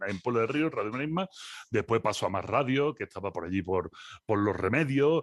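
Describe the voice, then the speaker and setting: Recorded with a dry, close sound, no echo and a quiet background, a man speaks with lively intonation. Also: medium pitch for a man, fairly quick pace. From Andalusia, Spain (Seville). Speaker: philosopher and lecturer. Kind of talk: interview conversation.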